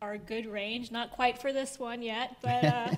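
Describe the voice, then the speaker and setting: Fairly even intonation from a woman. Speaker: church announcer. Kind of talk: church announcements. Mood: friendly, slightly nervous. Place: church. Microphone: handheld.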